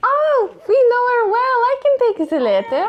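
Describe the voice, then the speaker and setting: A squeaky, put-on character voice at an extremely high pitch moves at a moderate pace over light background noise. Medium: actual play. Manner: coy, blunt.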